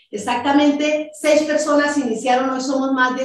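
At a moderate pace, a woman talks through noticeable background noise. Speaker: network marketing businesswoman. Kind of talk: sales pitch. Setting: video call. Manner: animated.

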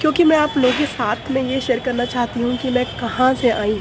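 Clear background noise runs under this recording. A woman speaks at a fairly high pitch with fairly even intonation.

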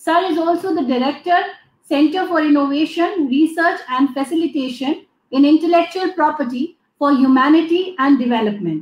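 A woman with an Indian accent speaks in a high pitch at a moderate pace. Her pitch varies in an ordinary way, and the room echo is audible. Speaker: event moderator. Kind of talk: formal announcements. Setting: video call. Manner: formal. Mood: polite, formal, appreciative. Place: office. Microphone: webcam.

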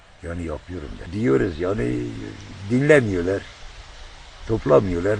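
A man's very deep, low voice with very wide pitch swings at a fairly slow pace, over noticeable background noise. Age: 70s. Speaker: volunteer guardian of a crater lake area. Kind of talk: interview answer. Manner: hesitant, plain colloquial speech.

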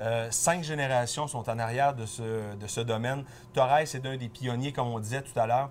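Light background noise sits behind a man's voice. His intonation stays fairly even. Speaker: wine columnist; guest. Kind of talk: casual chat. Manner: fast. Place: shop. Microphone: lapel.

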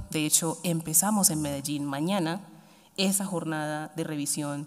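The woman's pitch sits very deep and low. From Colombia, Chocó (Pacific coast). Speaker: government official (vice-minister of education). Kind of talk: formal ceremonial speech. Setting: university ceremony with audience. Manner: formal. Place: hall. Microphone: podium.

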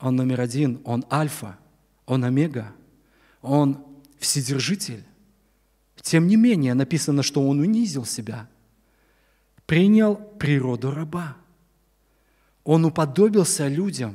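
A man with a fairly high pitch and a dark, mellow tone speaks at a very slow pace, using lively intonation and long, frequent pauses. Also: quiet background. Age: 60s. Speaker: preacher. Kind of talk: sermon. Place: church. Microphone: podium.

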